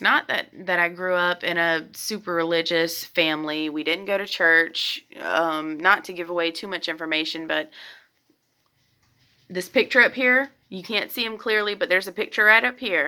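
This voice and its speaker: A woman's bright, sharp tone with ordinary pitch variation, on a very clean recording with a silent background. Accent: Southern US. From US South, middle Georgia. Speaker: tarot reader, youtuber. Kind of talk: casual vlog talk to camera. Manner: hesitant, many fillers and restarts.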